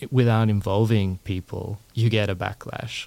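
A man with an Australian accent talks at a fairly slow pace and a fairly low pitch. The recording is very clean, with a silent background. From Australia, Melbourne. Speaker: environmental philosopher, assistant professor. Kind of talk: interview. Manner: hesitant with frequent fillers.

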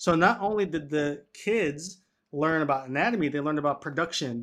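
A man with a plain, everyday voice speaks at a fairly high pitch and moderate pace with ordinary pitch variation over a quiet background. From New York City, Washington Heights. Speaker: physical therapist and health educator. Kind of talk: interview.

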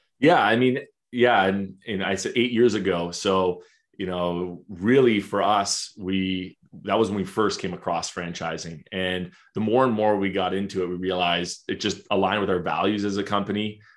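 Against a quiet background, a man with a plain, everyday voice and fairly low pitch speaks at a moderate pace with fairly even intonation. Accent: Canadian. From Canada. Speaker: marketing agency founder. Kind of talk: interview.

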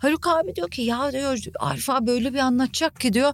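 A woman speaks loudly at a high pitch. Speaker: journalist and podcaster. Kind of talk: casual chat. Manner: frequent loud laughter.

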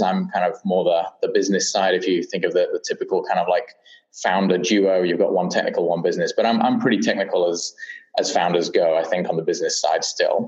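A man with a British accent at a very fast pace. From UK. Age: 30s. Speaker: startup founder and CEO. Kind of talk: interview. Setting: remote recording from Portland. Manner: halting, many fillers.

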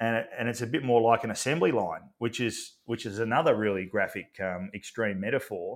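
In an Australian accent, a man talks at a fairly quick pace with hardly any pauses and ordinary pitch variation. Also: medium pitch for a man. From regional Victoria, Australia. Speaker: athlete wellbeing and leadership consultant. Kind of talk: interview. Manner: halting, many fillers and repeats.

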